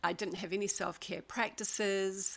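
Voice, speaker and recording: This woman has a medium pitch and a bright, sharp tone with vocal fry. Her pace is moderate. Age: 60s. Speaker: paediatrician and wellness coach. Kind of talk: webinar presentation.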